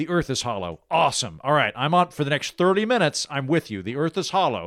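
Speaking at a very fast pace, a man with vocal fry and a fairly high pitch is captured dry and close with no echo. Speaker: author and podcaster. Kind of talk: casual chat. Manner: humorous, animated.

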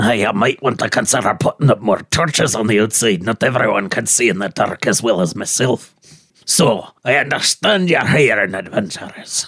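A man puts on a character voice at a medium pitch, speaking at a moderate pace. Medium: actual play. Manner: gruff, sardonic.

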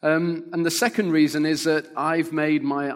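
In an ordinary speaking voice, a man with a fairly high pitch speaks at a fairly slow pace on a very clean recording with a silent background. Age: 50s. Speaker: pastor and church planter. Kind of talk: sermon.

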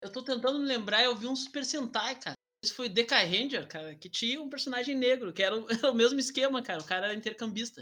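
An extremely high-pitched man speaks very fast in a raised, projected voice with a bright, sharp tone. His pitch variation is ordinary, while his loudness swings widely. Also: hardly any pauses. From southern Brazil, Rio Grande do Sul (Alvorada). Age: 30s. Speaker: history teacher. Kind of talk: casual chat. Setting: video call.

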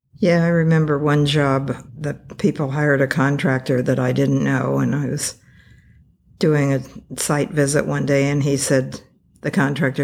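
A woman speaks with a Californian accent at a fairly slow pace. Her pitch is very deep and low. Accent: Californian American. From California (Taft, Central Valley). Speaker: retired architect. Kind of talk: interview.

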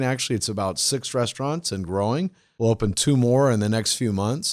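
Recorded very cleanly against a silent background, a man with an American accent and an unremarkable speaking voice talks at a medium pitch with ordinary pitch variation. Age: 50s. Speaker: leadership coach. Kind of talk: interview.

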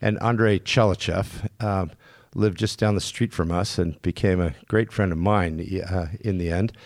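A man with an American accent talks at a fairly slow pace in a very deep, low pitch, in a very clean recording with a silent background. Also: fairly even intonation. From California, Napa Valley. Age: 70s. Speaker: winemaker. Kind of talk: casual interview.

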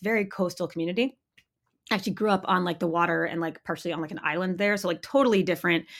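A woman with a fairly low voice talks very fast with ordinary pitch variation on a very clean recording with a silent background. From Maine, US. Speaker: snowboard magazine editor and commentator. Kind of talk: casual interview. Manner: halting, many fillers.

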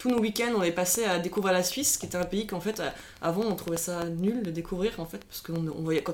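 The pace is very fast, with ordinary pitch variation. Noticeable background noise runs underneath. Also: woman, medium pitch for a woman. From Switzerland, Lausanne region (Vaud). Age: 30s. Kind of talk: casual interview. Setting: recorded over a few beers.

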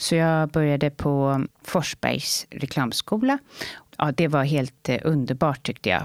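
The recording is very clean, with a silent background. A woman talks at a fairly slow pace. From Sweden, Stockholm area (Saltsjöbaden). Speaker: holistic health coach. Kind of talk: interview. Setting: studio.

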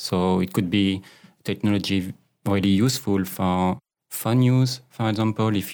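A man with a French accent and a fairly low pitch talks at a moderate pace on a very clean recording with a silent background. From France. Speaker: agile coach. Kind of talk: interview conversation. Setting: studio. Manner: hesitant, many fillers.

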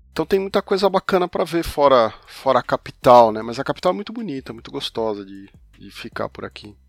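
A man at a fairly quick pace, with very wide pitch swings, big swings in loudness, a dry, close sound with no echo, and music in the background. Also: fairly high pitch for a man. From Brazil, São Paulo. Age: 50s. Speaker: comics journalist and podcaster. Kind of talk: casual interview conversation.

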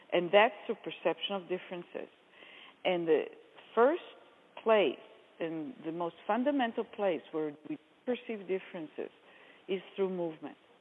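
In an Israeli accent, a woman speaks at a moderate pace and medium pitch with lively intonation and long, frequent pauses. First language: Hebrew. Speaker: movement therapy method founder. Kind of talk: interview explanation.

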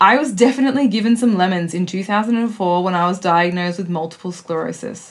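At a moderate pace, a woman speaks with lively intonation in an ordinary speaking voice. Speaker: podcast host. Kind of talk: interview.

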